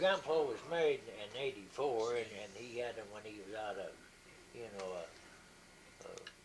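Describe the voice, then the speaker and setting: With an American accent, a man at medium pitch talks at a fairly slow pace with lively intonation and big swings in loudness over noticeable background noise. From Indiana. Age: 80s+. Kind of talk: casual family storytelling. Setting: home camcorder recording.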